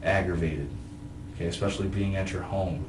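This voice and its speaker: A man's fairly low voice at a fairly quick pace, with noticeable background noise. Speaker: police detective. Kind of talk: police interrogation questioning. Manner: calm, conciliatory.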